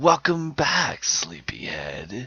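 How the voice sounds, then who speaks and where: A man's put-on character voice, medium in pitch, with very wide pitch swings. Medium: read story. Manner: falsely sweet, soothing.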